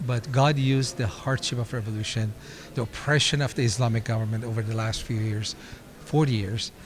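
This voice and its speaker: A man speaks at medium pitch with fairly even intonation in a plain, everyday voice. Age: 60s. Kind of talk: interview. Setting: convention interview.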